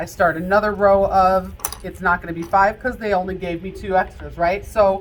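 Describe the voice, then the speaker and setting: A woman's bright, sharp voice amid audible room echo. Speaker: casino dealer instructor. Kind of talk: lecture.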